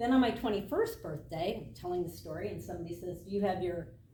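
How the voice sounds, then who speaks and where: A woman with an American accent talks at a very fast pace with lively intonation. Audible room echo and noticeable background noise are present. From Michigan, US Midwest. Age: 60s. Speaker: triathlon club member. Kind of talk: casual talk.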